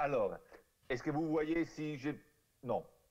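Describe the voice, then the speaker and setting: A man with an Italian accent speaks at a very slow pace. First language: Italian (speaking French). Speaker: archaeologist. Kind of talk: conference talk. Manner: halting.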